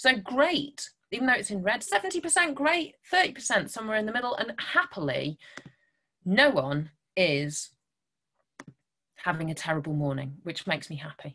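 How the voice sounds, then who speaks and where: A woman at a fairly slow pace, with very wide pitch swings and long, frequent pauses. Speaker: guest. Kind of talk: online talk to children. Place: home room. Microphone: webcam.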